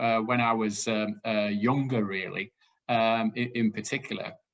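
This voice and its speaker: Fairly slow, fairly evenly intoned speech from a man with a Welsh accent, medium in pitch, against a quiet background. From South Wales. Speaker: retiring sports organisation director. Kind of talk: casual interview chat. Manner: hesitant, many fillers.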